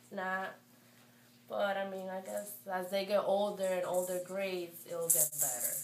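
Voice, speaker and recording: A woman with a Spanish accent speaks fairly slowly at a medium pitch with fairly even intonation, with audible room echo and noticeable background noise. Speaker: parent of bilingual toddlers. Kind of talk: interview. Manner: hesitant, with fillers.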